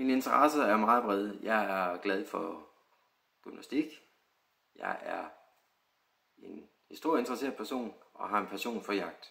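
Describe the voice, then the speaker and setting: Taking long, frequent pauses, a man speaks at a fairly slow pace and medium pitch with ordinary pitch variation. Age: 30s. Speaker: extra actor applicant. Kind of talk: self-introduction video.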